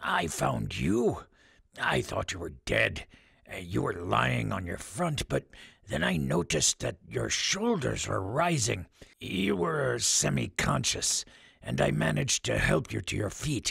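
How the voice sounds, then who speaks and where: Raspy put-on character voice from a man, very deep and low, with very wide pitch swings at a fairly slow pace. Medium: read story. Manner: calm, gentle, hesitant fillers.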